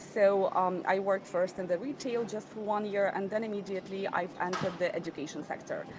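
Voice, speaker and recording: Noticeable background noise around a woman's voice at medium pitch. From Ukraine, Odessa. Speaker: entrepreneur, business trainer. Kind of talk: interview.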